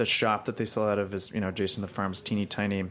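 The recording is very clean, with a silent background. A man with a fairly low voice speaks very fast. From New Mexico, Albuquerque. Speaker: cheesemonger and general manager. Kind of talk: casual chat.

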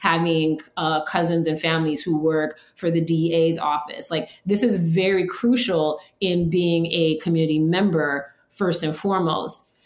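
In an American accent, a woman talks at a fairly low pitch with fairly even intonation and a fairly slow pace. She has a normal speaking voice. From New York City (Queens), then New Orleans from age 10. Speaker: food media producer and somatic psychology practitioner. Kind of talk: interview conversation.

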